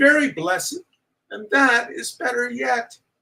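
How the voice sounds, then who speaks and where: A man puts on a shaky character voice and speaks at a moderate pace. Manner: tender, consoling.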